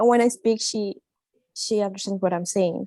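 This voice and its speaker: A woman with a Spanish accent talks at a fairly high pitch with fairly even intonation. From Colombia. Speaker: international student. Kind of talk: panel discussion. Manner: shy.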